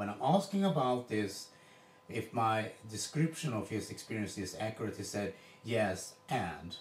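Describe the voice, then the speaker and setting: A man with a non-native accent talks at a fairly slow pace and medium pitch. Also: ordinary pitch variation. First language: Swedish. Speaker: coach demonstrating a drill. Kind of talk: coaching demonstration. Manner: halting, with repetitions.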